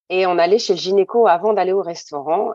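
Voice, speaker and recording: A woman with an unremarkable speaking voice of medium pitch, at a fairly quick pace. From mainland France, Réunion-born. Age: 40s. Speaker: mother sharing her story. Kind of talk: testimony.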